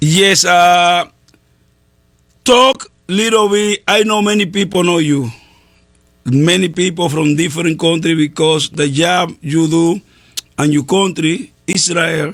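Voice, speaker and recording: A man with a Spanish accent speaks very slowly in a high voice, pausing long and often, with ordinary pitch variation and very even loudness. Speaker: pastor and radio host. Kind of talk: casual interview chat. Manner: halting.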